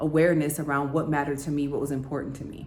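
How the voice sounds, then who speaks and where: There is audible echo from the room as a woman talks in an American accent. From United States. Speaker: YouTuber and business coach. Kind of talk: vlog monologue. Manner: conversational with frequent fillers.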